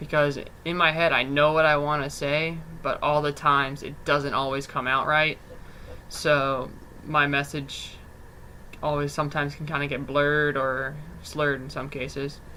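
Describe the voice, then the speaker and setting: Amid audible room echo, a man with a fairly high pitch speaks at a moderate pace with monotone, flat intonation. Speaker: student doing mock job interview. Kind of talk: mock job interview.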